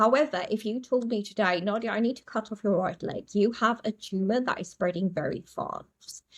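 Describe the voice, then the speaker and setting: Her fairly high, somewhat breathy voice comes across as animated, as this woman talks at a moderate pace with lively intonation and big swings in loudness. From South Africa, small town. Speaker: astrologer. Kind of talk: podcast interview.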